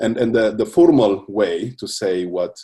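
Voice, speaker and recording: A man is speaking. His pace is fairly slow. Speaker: university lecturer. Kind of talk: lecture. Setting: online video class. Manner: halting, many fillers.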